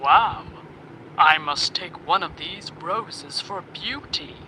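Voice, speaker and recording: Using a put-on character voice, a man speaks at a high pitch and fairly slow pace over clear background noise. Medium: read story.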